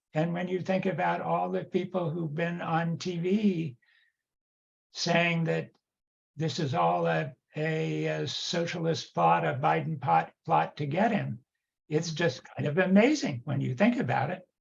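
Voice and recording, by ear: A man with a fairly high pitch speaks at a fairly slow pace, with a slightly husky edge, vocal fry and fairly even intonation.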